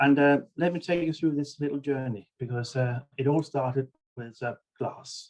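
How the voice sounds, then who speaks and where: A man is speaking with a Danish accent. His pitch is fairly high. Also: fairly even intonation, moderate pace. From Denmark. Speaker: bead researcher and author. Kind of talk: presentation. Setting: video webinar.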